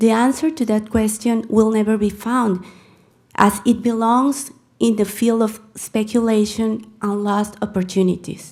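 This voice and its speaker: In a Mexican accent, a woman speaks fairly slowly with a fairly high, somewhat breathy voice and fairly even intonation. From Mexico. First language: Spanish. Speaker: public commenter, crisis pregnancy center director. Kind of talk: reading aloud a prepared letter; public comment at council meeting. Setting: city council meeting.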